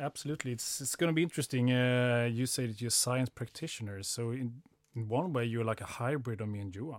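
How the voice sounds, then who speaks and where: With a Swedish accent, this speaker goes at a very fast pace with ordinary pitch variation. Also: man, medium pitch for a man. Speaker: podcast co-host, sports scientist. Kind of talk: casual interview chat.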